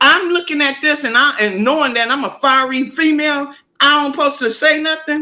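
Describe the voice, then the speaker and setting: A woman projects a raised voice at a high pitch, bright and sharp in tone. She moves at a moderate pace with ordinary pitch variation against a quiet background. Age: 50s. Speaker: online content creator. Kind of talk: heated discussion on a live stream.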